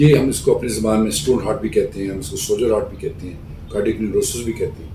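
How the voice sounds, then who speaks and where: Hardly any pauses, lively intonation, and noticeable background noise. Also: man, medium pitch for a man, big swings in loudness. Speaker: cardiac surgeon. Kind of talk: Q&A medical advice talk. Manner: calm explanatory.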